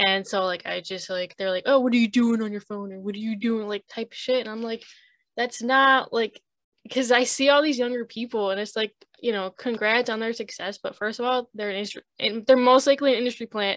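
A woman speaks at a fairly quick pace and fairly high pitch, with fairly even intonation against a quiet background. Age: 20s. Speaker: multimedia artist and streamer. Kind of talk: casual chat. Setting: video call. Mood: relaxed, candid. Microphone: video call.

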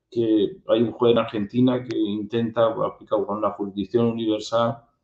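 A man speaks at a moderate pace in a monotone, flat intonation. The background is quiet, with audible room echo. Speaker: interview host. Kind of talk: interview question. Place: home room. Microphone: earbuds.

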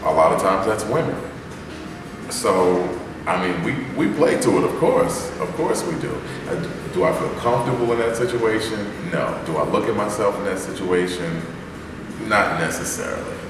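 There is audible room echo and noticeable background noise as a man speaks. He keeps a moderate pace with long, frequent pauses. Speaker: soul singer. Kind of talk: interview answer. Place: hall. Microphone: camera far.

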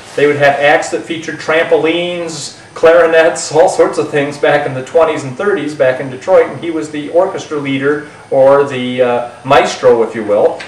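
A man talks at a moderate pace with fairly even intonation and hardly any pauses, and audible room echo surrounds his voice. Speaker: magic shop host. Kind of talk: casual reminiscence to camera. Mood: warm, amused, laughing. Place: studio.

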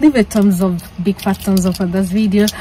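A woman with a dark, mellow tone speaks with fairly even intonation over faint background noise. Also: medium pitch for a woman, fairly quick pace.

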